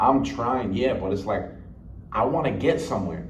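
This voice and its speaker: In a room with audible echo, a man talks at a fairly quick pace with ordinary pitch variation. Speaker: motivational vlogger. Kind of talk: unscripted vlog monologue. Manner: loud; rambling, halting with repeated words.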